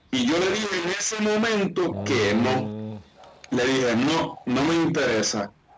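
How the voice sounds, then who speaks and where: A man talks at a fairly slow pace in a fairly high pitch with very wide pitch swings, with audible room echo and noticeable background noise. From Puerto Rico (Isabela). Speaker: basketball coach and entrepreneur. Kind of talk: interview. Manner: halting, many fillers.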